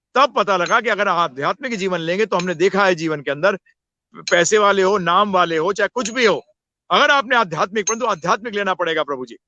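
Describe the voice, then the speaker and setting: This man speaks at a moderate pace with a high pitch. His pitch varies in an ordinary way. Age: 60s. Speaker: spiritual teacher. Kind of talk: interview on spirituality. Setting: live video session.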